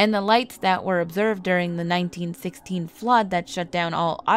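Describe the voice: Plain reading aloud moves along with fairly even intonation.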